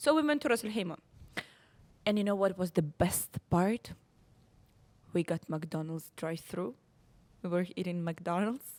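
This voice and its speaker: A woman speaks in a Russian accent at a medium pitch, with lively intonation. She takes long, frequent pauses. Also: moderate pace. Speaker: podcast co-host. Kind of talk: casual chat. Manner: halting, searching for English words.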